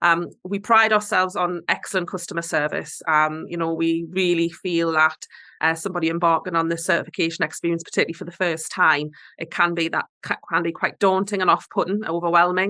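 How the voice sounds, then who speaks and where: Speaking fairly quickly with a Geordie accent, a woman uses a fairly low pitch and a bright, sharp tone in flat, monotone intonation. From northeast England. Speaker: certification body representative. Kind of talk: webinar presentation. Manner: hesitant with fillers.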